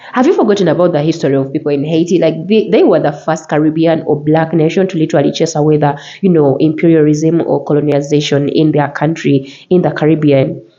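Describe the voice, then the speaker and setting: With a very deep, low pitch and an animated tone, a woman talks at a very fast pace with hardly any pauses and very even loudness. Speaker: reaction video host. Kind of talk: video commentary.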